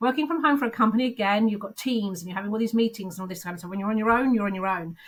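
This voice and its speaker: Very fast and somewhat breathy, a woman with a fairly high pitch speaks with ordinary pitch variation and big swings in loudness. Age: 50s. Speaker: recruitment consultant turned business founder. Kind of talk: interview answer. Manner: candid.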